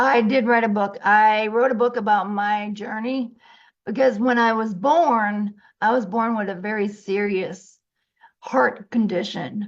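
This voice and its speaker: A woman speaks in a normal speaking voice with an American accent and a fairly high pitch. Her pace is fairly slow, with ordinary pitch variation. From Massachusetts. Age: 60s. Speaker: financial coach and social worker. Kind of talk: interview.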